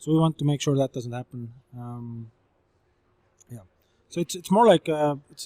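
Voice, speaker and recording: A man with an Estonian accent speaks with a fairly high pitch and a dark, mellow tone, leaving long, frequent pauses. His loudness swings widely, and the sound is dry and close with no echo. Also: ordinary pitch variation, moderate pace. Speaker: startup founder and CEO. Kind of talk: interview. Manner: hesitant, many fillers.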